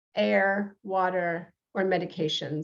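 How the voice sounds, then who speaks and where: Speaking with a New York accent, a woman keeps her intonation fairly even. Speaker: podcast host and reverend. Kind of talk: interview talk show. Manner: many fillers, hesitant.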